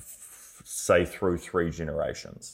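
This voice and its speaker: The man's voice comes through a very clean recording with a silent background. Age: 20s. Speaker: podcast host, business owner. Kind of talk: solo podcast monologue. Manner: casual, loosely structured.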